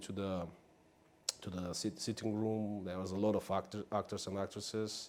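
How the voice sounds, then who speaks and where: A man's fairly low voice at a moderate pace with fairly even intonation. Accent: non-native. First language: not English. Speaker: actor. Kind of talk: interview. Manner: halting, many fillers.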